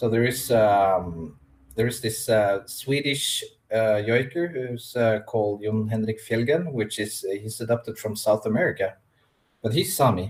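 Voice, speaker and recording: Somewhat breathy, a man speaks at a fairly slow pace with ordinary pitch variation. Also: medium pitch for a man. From Norway (Sámi region). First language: Norwegian or Sámi. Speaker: Sámi spiritual practitioner. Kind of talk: interview. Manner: halting.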